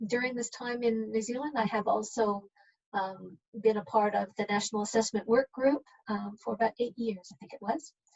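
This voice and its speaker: Somewhat breathy and fairly high in pitch, a woman talks at a moderate pace with ordinary pitch variation and big swings in loudness. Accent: Canadian. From Canada. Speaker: human resources manager. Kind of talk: self-introduction.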